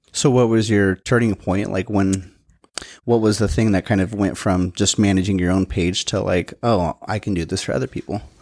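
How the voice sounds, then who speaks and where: In a plain, everyday voice, a man speaks at a moderate pace with a fairly low pitch and fairly even intonation, in a dry, close sound with no echo. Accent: American. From western Washington, US. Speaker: podcast host. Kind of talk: casual interview. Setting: studio.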